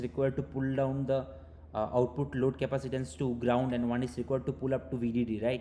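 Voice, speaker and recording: This man talks at a very fast pace in a medium pitch with a dark, mellow tone. His voice is somewhat breathy, with ordinary pitch variation. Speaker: teaching assistant. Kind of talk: online tutorial session. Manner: hesitant, many fillers.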